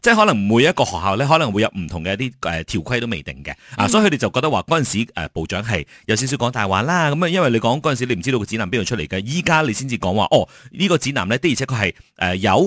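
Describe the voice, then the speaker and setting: A man talking at a very fast pace with very wide pitch swings, in a very clean recording with a silent background and a dry, close sound with no echo. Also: medium pitch for a man, hardly any pauses. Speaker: radio host. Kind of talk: morning radio news discussion.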